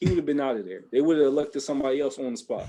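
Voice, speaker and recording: A man speaks with a Baltimore accent and lively intonation. His tone is dark and mellow. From Baltimore, Maryland, US. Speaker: podcast host. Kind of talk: casual chat.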